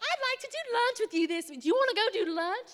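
A put-on character voice, female-sounding and squeaky, sits at an extremely high pitch. It rattles along at a very fast pace.

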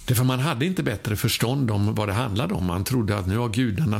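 A man's fairly low-pitched, ordinary speaking voice at a fairly quick pace. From Sweden. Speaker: preacher. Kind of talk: sermon.

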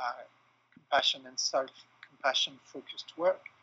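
His intonation is monotone and flat. The man's pitch sits fairly high. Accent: French. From France. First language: French. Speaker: clinical psychologist and trainer. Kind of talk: interview. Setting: remote call.

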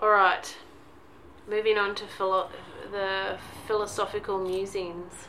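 A woman at a medium pitch speaks at a fairly slow pace in a flat monotone, leaving long, frequent pauses, with audible room echo. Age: 40s. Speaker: podcast co-host, mother and teacher. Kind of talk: casual chat. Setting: at home in son's bedroom.

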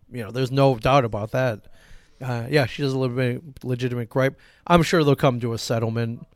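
A man talks at a fairly quick pace at a medium pitch in a normal speaking voice. His intonation is fairly even, and the recording is very clean with a silent background. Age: 40s. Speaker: comic shop owner and podcast co-host. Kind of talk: casual chat. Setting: live broadcast from a comic shop.

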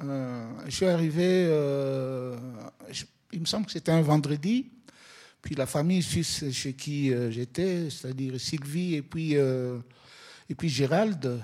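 A very slow delivery broken by long, frequent pauses. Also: man, very clean recording, silent background. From Congo (DRC). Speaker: photographer and social worker. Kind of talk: exhibition opening talk.

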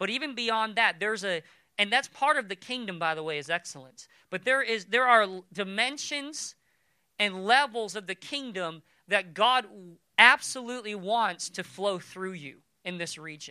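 Raised and projected, a man's high-pitched voice sounds bright, sharp and animated, with lively intonation and big swings in loudness, on a very clean recording with a silent background. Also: moderate pace. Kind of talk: sermon. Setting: church. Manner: long pauses before key points.

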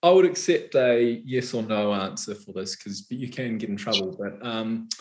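A man with a New Zealand accent and very wide pitch swings. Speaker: novelist interviewer. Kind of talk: live author interview. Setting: online live event.

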